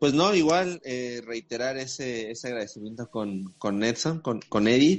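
A man speaks with a Mexican accent at medium pitch. His intonation is lively and his pace fairly slow. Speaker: podcast host. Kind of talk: casual chat.

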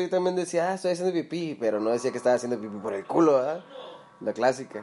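A man's lively intonation carries along with music playing behind him. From Mexico, Tijuana. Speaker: podcast co-host. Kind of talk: casual chat. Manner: laughing often.

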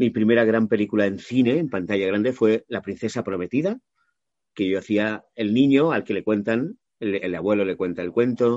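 This man has a normal speaking voice at a fairly low pitch, talking at a moderate pace with ordinary pitch variation. The background is quiet, and the sound is dry and close with no echo. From Catalonia, Maresme (Mataró). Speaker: voice actor. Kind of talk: interview.

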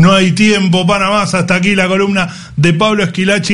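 A fairly high male voice at a moderate pace, with audible room echo. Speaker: radio host. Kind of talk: casual chat.

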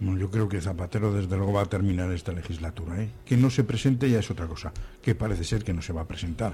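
A man's fairly low, somewhat breathy voice with a dark, mellow tone, ordinary pitch variation and a very fast pace. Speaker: senior radio workshop panelist. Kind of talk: casual radio panel chat.

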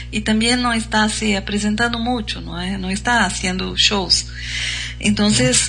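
Music plays in the background and the room echo is audible. A woman with a Brazilian accent speaks at a fairly slow pace. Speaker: radio host. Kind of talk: casual chat.

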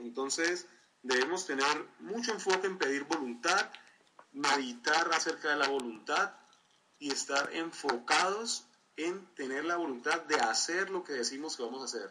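A man with an unremarkable speaking voice talks at a fairly high pitch and a fairly slow pace, showing ordinary pitch variation. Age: 20s. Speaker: community leader and motivational trainer. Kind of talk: online training presentation.

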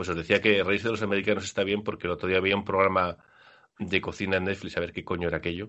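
A man with a very deep, low pitch rushes along at a very fast pace in a monotone, flat intonation. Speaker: basketball podcast host. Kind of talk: casual chat.

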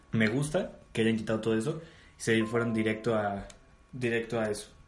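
Audible room echo surrounds a man speaking at a moderate pace. His voice is somewhat breathy. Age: 20s. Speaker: podcast host. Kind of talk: casual chat.

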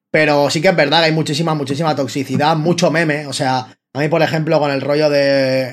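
Fairly even intonation and a moderate pace from a man with a normal speaking voice. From Spain, Barcelona. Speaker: rapper and freestyler. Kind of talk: casual chat.

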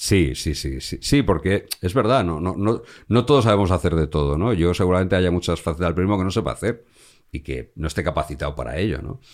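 A man speaks at a very deep, low pitch with vocal fry and lively intonation. The recording is very clean, with a silent background. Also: fairly quick pace. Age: 50s. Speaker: crime journalist. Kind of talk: interview conversation. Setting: home studio. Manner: repeats words, hesitant restarts.

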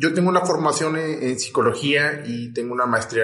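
Audible room echo accompanies a man speaking at a fairly high pitch with ordinary pitch variation. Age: 30s. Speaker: psychologist. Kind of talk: casual chat.

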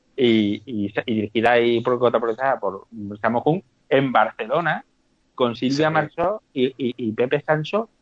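A man with a plain, everyday voice, medium pitch and lively intonation. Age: 40s. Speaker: podcast guest, film fan. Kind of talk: casual chat.

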